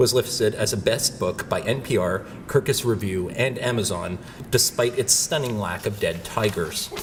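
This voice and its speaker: Over noticeable background noise, the speech goes at a moderate pace. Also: man, medium pitch for a man, ordinary pitch variation. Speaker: professor. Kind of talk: speaker introduction.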